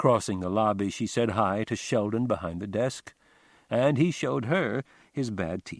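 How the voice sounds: The voice reads in a natural way.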